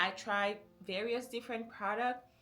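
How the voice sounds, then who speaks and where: With music in the background, a woman with a fairly high pitch speaks at a moderate pace with ordinary pitch variation. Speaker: lifestyle vlogger. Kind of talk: casual advice vlog. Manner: conversational, friendly, with fillers.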